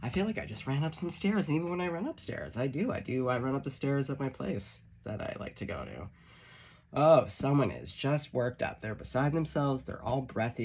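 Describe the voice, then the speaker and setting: A man's medium-pitched voice with lively intonation and vocal fry. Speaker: tarot reader; musician. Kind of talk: tarot reading monologue. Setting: friend's music studio. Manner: fast; animated.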